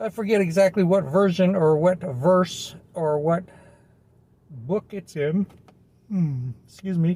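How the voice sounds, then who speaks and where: A man speaks at a very slow pace with long, frequent pauses. His pitch is high, with ordinary variation. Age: 60s. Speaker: reverend and hypnotherapist giving self-help talk. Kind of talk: casual self-help monologue. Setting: handheld video recording. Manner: rambling with repetitions.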